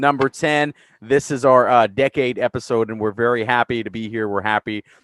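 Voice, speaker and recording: A man speaks in a normal speaking voice at a medium pitch with ordinary pitch variation. The sound is dry and close, with no echo. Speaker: podcast host. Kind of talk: casual group podcast talk.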